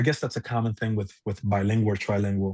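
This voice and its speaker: In a Spanish accent, a man speaks at a fairly low pitch over a quiet background. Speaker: musician. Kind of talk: casual chat. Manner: halting.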